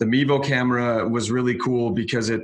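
A man speaks very fast at a medium pitch, his intonation fairly even. Noticeable background noise runs underneath. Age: 30s. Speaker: media company owner. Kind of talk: interview.

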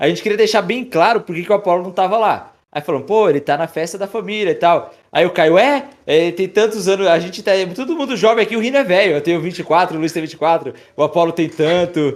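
A man with a high pitch talks at a fairly quick pace with hardly any pauses and ordinary pitch variation. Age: 20s. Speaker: YouTube creator. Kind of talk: casual chat.

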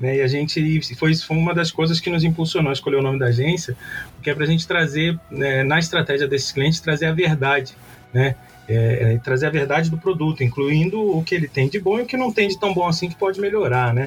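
A man speaks at a fairly quick pace in a fairly high voice, with ordinary pitch variation and very even loudness. Noticeable background noise sits behind him. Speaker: marketing professor and agency owner. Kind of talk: interview. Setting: remote recording from agency office. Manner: casual, animated.

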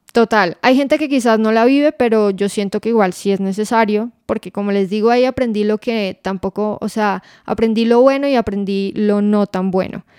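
An unremarkable speaking voice moves at a moderate pace with hardly any pauses and fairly even intonation, in a very clean, dry, close recording with a silent background and no echo. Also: woman, fairly high pitch for a woman. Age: 20s. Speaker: podcast co-host, finance professional. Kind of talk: casual chat.

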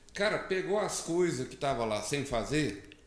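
This man's voice sits at a fairly high pitch and makes very wide pitch swings. Room echo is audible. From Brazil, Minas Gerais. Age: 40s. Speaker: solar energy entrepreneur. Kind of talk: casual interview. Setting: studio, live stream. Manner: halting, many fillers.

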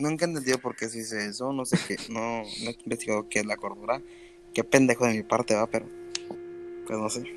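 Over noticeable background noise, a man of medium pitch speaks at a fairly quick pace with ordinary pitch variation. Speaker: podcast host. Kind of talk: casual chat.

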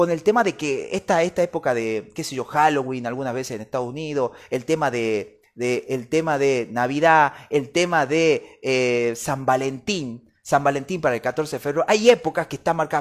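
A man talks at a moderate pace in a fairly high pitch, with hardly any pauses. The recording is very clean, with a silent background. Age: 30s. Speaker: podcast host. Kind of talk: solo podcast book review. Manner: animated.

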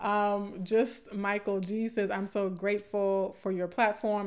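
Speaking at a fairly slow pace, a woman of medium pitch has a Southern US accent. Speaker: podcast host and academic. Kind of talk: live stream talk about colorism. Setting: live stream online. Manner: casual, chatty, laughs often.

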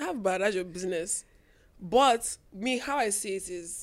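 In an ordinary speaking voice with ordinary pitch variation, the speech comes on a very clean recording with a silent background. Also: woman. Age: 20s. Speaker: podcast co-host. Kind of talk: casual chat.

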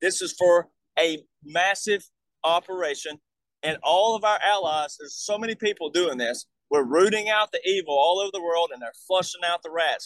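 A high-pitched man's voice in an Alabama accent, with big swings in loudness and a dry, close sound with no echo. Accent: Southern US (Alabama). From US South, Alabama. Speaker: military veteran and touring speaker. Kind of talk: casual interview, conspiracy explanation.

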